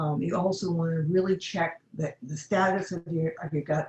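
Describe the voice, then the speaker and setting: A somewhat breathy woman's voice with a fairly low pitch at a moderate pace. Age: 70s. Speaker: health educator. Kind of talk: webinar Q&A.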